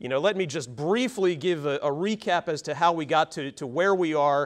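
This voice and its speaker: A man speaks at a moderate pace with a high pitch. The background is quiet. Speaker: employment lawyer. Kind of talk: seminar presentation. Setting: seminar room with audience, mic'd up. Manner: loud; frequent filler words.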